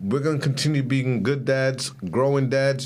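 The speech moves at a fairly quick pace, and the room echo is audible. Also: man. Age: 30s. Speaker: podcast co-host. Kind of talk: casual chat.

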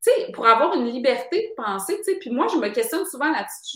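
Very wide swings of pitch in a woman's speech. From Quebec City, Quebec. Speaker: author and screenwriter. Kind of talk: casual interview. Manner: hesitant, frequent fillers and repetitions.

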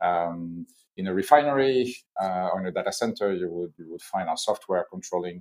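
A man with a French accent talks at a fairly quick pace, the sound dry and close with no echo. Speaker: corporate chief innovation officer. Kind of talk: business interview. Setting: video call from Hong Kong.

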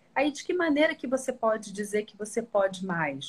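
A woman's somewhat breathy, fairly high voice with lively intonation. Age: 40s. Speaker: image consultant. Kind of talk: live-stream interview.

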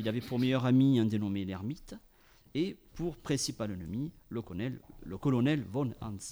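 The speaker is a man with a dark, mellow tone and a medium pitch. He talks at a moderate pace with ordinary pitch variation. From France, Ariège. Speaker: radio panel columnist. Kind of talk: storytelling chronicle.

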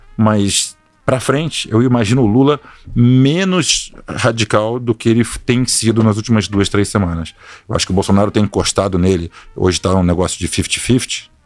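This is an ordinary speaking voice at a moderate pace. Loudness stays very even, and pitch varies in an ordinary way. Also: man, fairly low pitch for a man. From Rio de Janeiro, Brazil (born São Paulo, moved young). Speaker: hedge fund partner. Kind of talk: casual interview.

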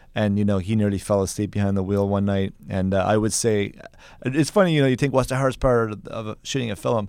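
A man speaks very fast at a fairly low pitch, with an Irish accent. The recording is very clean, with a silent background. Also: ordinary pitch variation. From Ireland, County Kerry. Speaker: film director. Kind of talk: interview.

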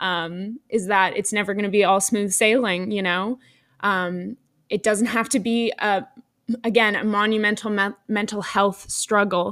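This woman talks at a fairly slow pace with a medium pitch and a monotone, flat intonation. The recording is very clean, with a silent background. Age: 20s. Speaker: podcast host and law student. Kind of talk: personal monologue. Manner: hesitant, many fillers.

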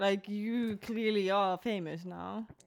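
Someone talks at a very slow pace in a Finnish accent. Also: woman. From Finland. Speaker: podcast co-host. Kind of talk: casual chat.

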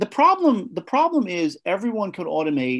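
A man speaks with an American accent at a moderate pace. His pitch swings very widely over a quiet background. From New Jersey, near New York City. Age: 50s. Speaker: tech company founder. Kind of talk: interview. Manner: halting.

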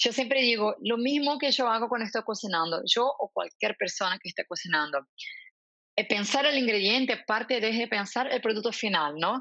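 A woman with a Portuguese accent speaks at a fairly high pitch, her intonation lively. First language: Portuguese (speaking Spanish). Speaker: marketing executive. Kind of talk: interview.

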